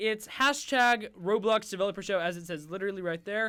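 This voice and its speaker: A man with a high voice projects it loudly with a bright, sharp tone and lively intonation, at a moderate pace on a very clean recording with a silent background. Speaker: stream host. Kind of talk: casual chat. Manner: halting.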